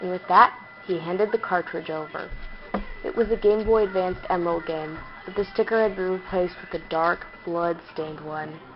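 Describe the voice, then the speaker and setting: Music plays in the background. A woman speaks at medium pitch with ordinary pitch variation. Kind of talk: creepypasta reading.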